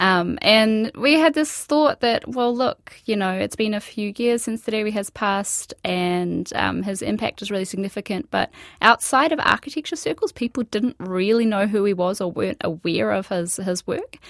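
A woman with an Australian accent speaks at a medium pitch and a moderate pace, with lively intonation and hardly any pauses. The sound is dry and close with no echo, on a very clean recording with a silent background. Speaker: architect and author. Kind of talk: radio interview. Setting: studio.

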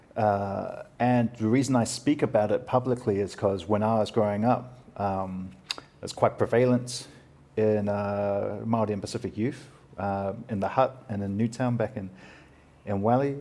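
Speaking with a New Zealand accent, a man keeps a fairly low pitch. His pace is moderate and his intonation fairly even. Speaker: podcast host and comedian. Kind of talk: casual interview chat about mental health.

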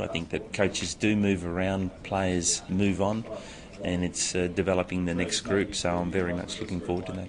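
With an Australian accent, a man speaks at a moderate pace in a very deep, low pitch and a monotone, flat intonation. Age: 50s. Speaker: hockey coach. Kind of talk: interview.

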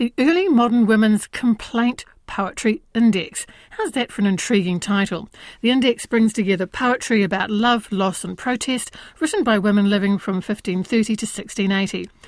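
In a very clean recording with a silent background, a woman speaks at a moderate pace. She has an unremarkable speaking voice, fairly high in pitch with ordinary variation. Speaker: radio host. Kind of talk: radio interview. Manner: friendly, chatty, interrupts.

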